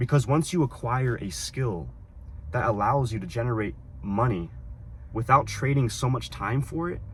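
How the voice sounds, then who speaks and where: With lively intonation and vocal fry, a man at a medium pitch speaks at a moderate pace, leaving long, frequent pauses. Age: 20s. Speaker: discipline coach. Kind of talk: casual talk to camera. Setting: in a car.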